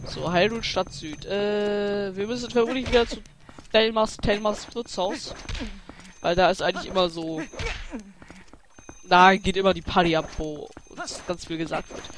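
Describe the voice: With long, frequent pauses, a man speaks in a high-pitched voice with a fairly bright tone. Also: ordinary pitch variation, moderate pace.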